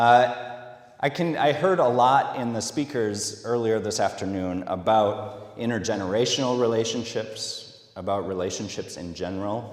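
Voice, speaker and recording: With a Minnesota accent, a man talks at a moderate pace amid audible room echo. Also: medium pitch for a man, ordinary pitch variation. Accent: Minnesota, long O's. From US Midwest, Minnesota. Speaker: social media specialist giving a talk. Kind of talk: conference talk. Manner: hesitant, many fillers.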